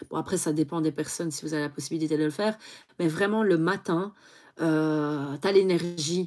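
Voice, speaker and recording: A woman's very deep, low voice at a moderate pace, with fairly even intonation, on a very clean recording with a silent background. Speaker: beauty youtuber. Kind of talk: casual live stream chat. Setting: home live stream. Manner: hesitant, many fillers.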